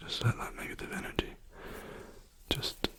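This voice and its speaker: Someone whispers in a relaxed tone at a fairly slow pace. Noticeable background noise is present. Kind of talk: ASMR softly spoken rambling and guided meditation. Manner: soft-spoken, relaxed, rambling.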